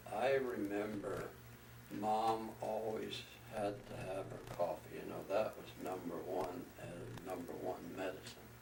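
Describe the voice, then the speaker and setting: A man with a fairly low pitch speaks at a fairly slow pace, with audible room echo and noticeable background noise. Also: ordinary pitch variation. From California, Dixon area, Italian immigrant family. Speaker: oral history interviewee. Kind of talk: oral history interview.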